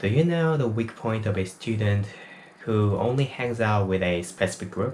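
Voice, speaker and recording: A man with a Korean accent, fairly low in pitch, at a very even loudness. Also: ordinary pitch variation, moderate pace. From South Korea. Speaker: university student and small YouTuber. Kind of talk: personal testimony. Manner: non-native, somewhat halting English.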